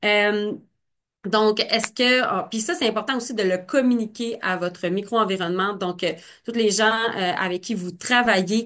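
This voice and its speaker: Against a quiet background, the speech moves at a fairly slow pace with ordinary pitch variation. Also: woman, fairly high pitch for a woman. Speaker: marketing presenter. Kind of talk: webinar presentation. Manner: hesitant, many fillers.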